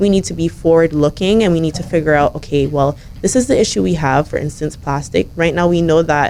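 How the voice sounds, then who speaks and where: Noticeable background noise sits behind a woman's very deep, low voice. Her pitch varies in an ordinary way. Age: young. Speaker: young environmental advocate and government intern. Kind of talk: radio interview.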